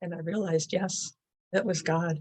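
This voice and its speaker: A somewhat breathy woman's voice in a dry, close sound with no echo. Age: 70s. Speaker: author and horse rider. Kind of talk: interview. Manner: halting.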